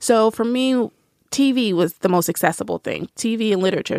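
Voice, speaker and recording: This woman has an unremarkable speaking voice with a fairly high pitch and a fairly quick pace. The sound is dry and close, with no echo. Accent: American. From US South, Nashville. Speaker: writer and book reviewer. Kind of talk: casual interview chat.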